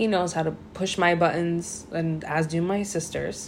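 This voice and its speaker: This woman's voice sits fairly low in pitch. Audible room echo and noticeable background noise fill the recording. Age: 30s. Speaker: host's girlfriend. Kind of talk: casual chat.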